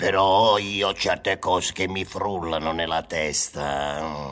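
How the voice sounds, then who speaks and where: Over light background noise, a very deep, low voice speaks at a fairly slow pace. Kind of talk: absurdist radio comedy. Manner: exclamatory, theatrical, bossy.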